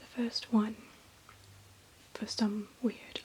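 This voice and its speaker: Someone whispers over noticeable background noise. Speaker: ASMR creator. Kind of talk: ASMR show-and-tell of manga books. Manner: whispered.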